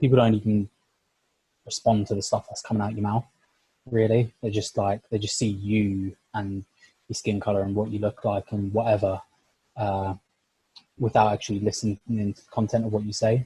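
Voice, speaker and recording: A man with a fairly low, somewhat breathy voice and a dark, mellow tone speaks in a monotone with long, frequent pauses, the sound dry and close with no echo. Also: moderate pace. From North London. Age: young. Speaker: sport science lecturer. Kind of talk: podcast interview. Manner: many fillers (like, you know, uh).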